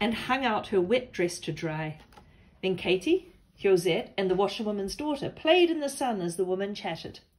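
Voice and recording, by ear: The voice reads aloud naturally. Its intonation is lively.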